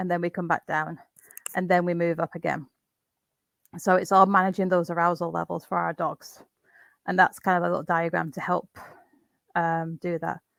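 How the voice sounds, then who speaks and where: In a dry, close recording with no echo, a woman speaks in a fairly low voice with monotone, flat intonation and long, frequent pauses. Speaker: dog trainer. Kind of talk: webinar presentation. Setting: video call. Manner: fast.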